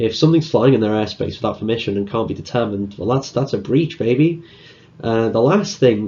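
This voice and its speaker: Here a man speaks with a Liverpool accent. His intonation is lively. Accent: Liverpool (Scouse). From northern England, Liverpool. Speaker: conference speaker, security student. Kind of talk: conference talk. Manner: casual, hesitant fillers.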